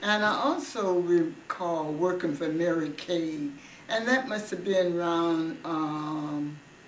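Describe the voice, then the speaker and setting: A woman speaks at a very slow pace in a fairly low voice. Her pitch varies in an ordinary way, with noticeable background noise. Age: 80s+. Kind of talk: interview answer. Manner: hesitant, reminiscing.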